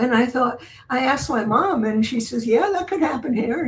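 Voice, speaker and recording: With an American accent, a woman speaks at a fairly high pitch with very wide pitch swings. Noticeable background noise runs underneath. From US Midwest, Chicago. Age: 80s+. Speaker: energy author and grid expert. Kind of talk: interview. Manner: halting, many fillers.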